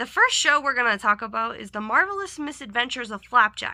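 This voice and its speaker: A raised, projected voice with a bright, sharp tone comes through on a very clean recording with a silent background. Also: woman. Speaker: YouTuber rating cartoons. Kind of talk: casual vlog commentary.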